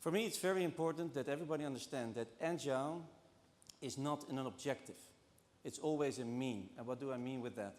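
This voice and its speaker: With a Dutch accent, a man talks at a fairly quick pace, his pitch fairly high and its variation ordinary. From Netherlands. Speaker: banking transformation executive. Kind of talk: conference talk. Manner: halting, many fillers.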